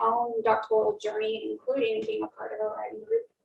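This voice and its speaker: Music plays in the background. A soft-spoken woman is talking. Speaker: workshop presenter, recent English PhD. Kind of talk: workshop talk. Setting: room with live audience.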